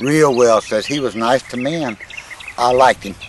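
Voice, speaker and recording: A man speaks with a Mississippi accent and ordinary pitch variation. Noticeable background noise runs behind him. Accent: Mississippi Southern drawl. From US South, Newton County, Mississippi. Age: 80s+. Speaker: elderly father recounting family history. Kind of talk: casual chat. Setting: outdoors.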